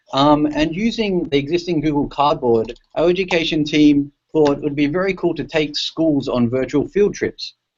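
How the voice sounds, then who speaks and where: At a moderate pace and with hardly any pauses, a man with an Australian accent speaks at a fairly high pitch with ordinary pitch variation. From Australia, Sydney. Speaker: tech company education specialist. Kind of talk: presentation in online panel. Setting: video call. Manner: casual, many fillers and restarts.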